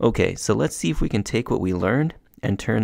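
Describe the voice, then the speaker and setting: At a moderate pace, a man speaks with lively intonation and vocal fry on a very clean recording with a silent background. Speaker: gaming youtuber. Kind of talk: gameplay commentary.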